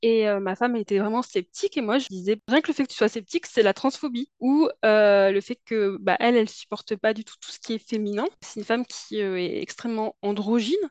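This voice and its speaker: With big swings in loudness, a woman speaks at a fairly high pitch and a moderate pace, the sound dry and close with no echo. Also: ordinary pitch variation, hardly any pauses. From Paris suburbs, France. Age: 30s. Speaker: podcast guest, testimony. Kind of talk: personal testimony. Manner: hesitant, many fillers.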